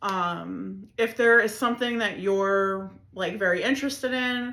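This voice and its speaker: Speaking with an American accent, a woman delivers her words at a fairly slow pace in a bright, sharp tone with ordinary pitch variation. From Chicago area, Illinois. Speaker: podcast host. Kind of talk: casual monologue. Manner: filler-heavy, rambling.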